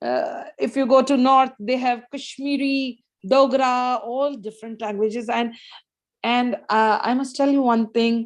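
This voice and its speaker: With an Indian accent, a woman speaks at a high pitch and a fairly slow pace, her intonation fairly even. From northern India, Hindi-speaking region. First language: Hindi. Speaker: guest speaker, educator. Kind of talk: casual Q&A in an online English club. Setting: video call. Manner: hesitant, with many fillers.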